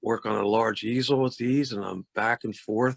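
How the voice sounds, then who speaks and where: In a dry, close recording with no echo, a man at a medium pitch keeps fairly even intonation and a moderate pace. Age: 60s. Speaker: painter. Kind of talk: artist talk about own paintings. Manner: halting, many fillers and repeats.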